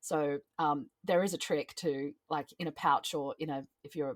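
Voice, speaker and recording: A woman's voice with an Australian accent and fairly even intonation, a dry, close sound with no echo, on a very clean recording with a silent background. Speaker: ritualist and singer-songwriter. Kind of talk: casual chat. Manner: frequent ums and hesitations.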